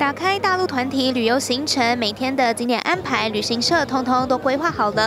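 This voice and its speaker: A woman's high-pitched voice in a Taiwanese accent, with lively intonation and noticeable background noise. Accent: Taiwanese Mandarin. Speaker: TV news reporter. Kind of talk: news report narration.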